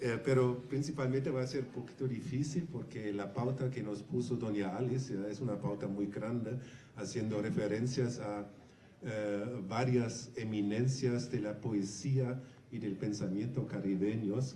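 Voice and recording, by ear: A man's fairly low, hoarse voice with a dark, mellow tone, fairly even intonation, moderate pace, few pauses and audible room echo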